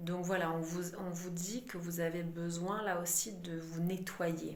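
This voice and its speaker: A woman's fairly low, monotone voice at a fairly slow pace, with flat intonation, audible room echo and noticeable background noise. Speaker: psychic medium doing card readings. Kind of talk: channeled oracle card reading.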